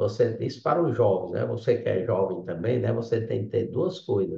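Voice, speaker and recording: A man's dark, mellow tone carries vocal fry at a moderate pace. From Ceará, Brazil. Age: 60s. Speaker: civil engineer, business owner. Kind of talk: interview. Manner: halting, with many fillers.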